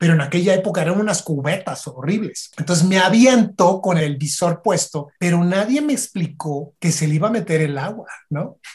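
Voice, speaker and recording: Hardly any pauses, in a Mexican accent, with ordinary pitch variation. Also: man, high pitch for a man, moderate pace. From Mexico, Michoacán. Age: 50s. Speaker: marine biologist. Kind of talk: casual interview.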